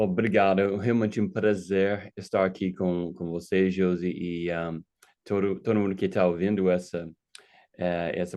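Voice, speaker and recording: Very deep and low, a man's voice with an American accent moves at a fairly slow pace in a monotone, flat intonation over a quiet background. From United States. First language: English (speaking Portuguese). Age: 50s. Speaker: pastor. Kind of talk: casual chat. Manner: halting, with many fillers.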